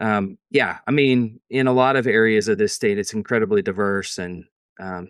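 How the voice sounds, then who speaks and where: The speaker has a Southern Tennessee accent and a moderate pace. The background is quiet. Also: man. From East Tennessee. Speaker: interview guest. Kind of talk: interview conversation.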